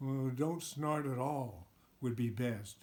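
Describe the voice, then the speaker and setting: Using a put-on character voice, a man talks at a fairly slow pace with a medium pitch. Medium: read story. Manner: curt, impatient.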